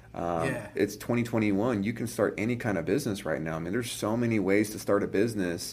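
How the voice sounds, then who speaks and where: Here a man with an American accent speaks in a plain, everyday voice at a fairly low pitch. His pace is fairly quick, with ordinary pitch variation. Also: hardly any pauses. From California. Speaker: entrepreneur. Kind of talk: casual chat.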